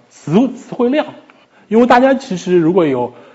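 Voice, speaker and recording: A man speaks at a fairly quick pace with very wide pitch swings over noticeable background noise. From China, Shanghai. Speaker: psychology PhD student, lecturer. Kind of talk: lecture. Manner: halting, with repetitions.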